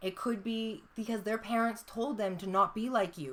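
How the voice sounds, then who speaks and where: A woman speaks at a moderate pace. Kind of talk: casual chat. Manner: loud.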